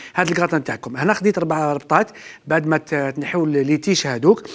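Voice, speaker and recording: The male speaker's intonation rises and falls in a lively way. He moves along at a fairly quick pace. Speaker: TV chef host. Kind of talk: cooking show tutorial. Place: studio.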